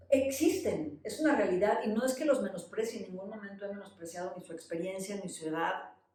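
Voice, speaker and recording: Talking at a fairly quick pace with hardly any pauses, a woman of medium pitch swings widely in loudness amid noticeable background noise and audible room echo. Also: lively intonation. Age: 60s. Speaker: podcast co-host. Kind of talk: casual conversation.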